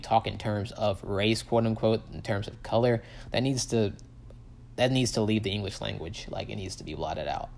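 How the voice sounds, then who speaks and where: Fairly low in pitch, a man speaks at a fairly quick pace. His intonation stays fairly even. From US South, Tupelo, Mississippi. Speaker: podcaster. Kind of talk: personal monologue. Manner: rambling, many fillers.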